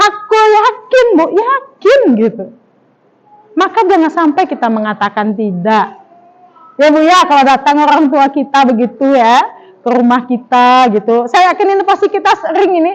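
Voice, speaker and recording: At a moderate pace, a woman speaks with very even loudness while her pitch swings very widely. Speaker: female Islamic preacher. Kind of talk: religious study talk to women. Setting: gathering without microphone. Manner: conversational, addressing audience. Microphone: no microphone.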